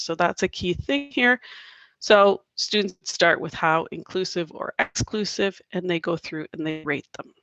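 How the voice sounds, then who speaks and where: A woman with a Canadian accent has a plain, everyday voice, speaking at a medium pitch and moderate pace with ordinary pitch variation. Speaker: teacher presenting a workshop. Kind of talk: online workshop presentation.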